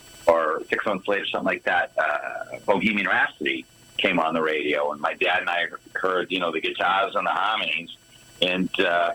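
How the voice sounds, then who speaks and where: Over noticeable background noise, a man speaks with a Boston accent. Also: moderate pace. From Boston suburbs, Massachusetts. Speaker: guitarist in a tribute band. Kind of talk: interview. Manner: halting, many repeated words.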